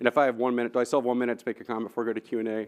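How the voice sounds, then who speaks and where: A man's medium-pitched voice with an American accent. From Texas, Austin. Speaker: engineering professor, keynote speaker. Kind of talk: Q&A answer; conference keynote talk. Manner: fast; animated.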